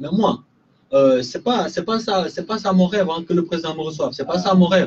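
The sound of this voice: The voice has a slightly mellow tone with a slightly husky edge. It moves at a fairly quick pace with ordinary pitch variation. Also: man.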